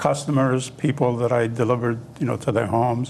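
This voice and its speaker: A man speaks at a medium pitch with fairly even intonation. Noticeable background noise runs under his voice. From Italy, Abruzzo; grew up in Massachusetts. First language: Italian (Abruzzese dialect). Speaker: interview guest, former grocery worker. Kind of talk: interview reminiscence. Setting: TV studio. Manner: halting, many fillers.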